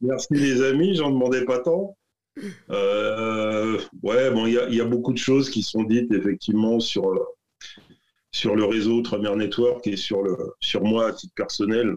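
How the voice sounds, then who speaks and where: A man talks at a fairly slow pace with long, frequent pauses, using a medium pitch and ordinary pitch variation. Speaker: entrepreneur, business network founder. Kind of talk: casual interview. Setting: video call. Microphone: poor audio quality over video call.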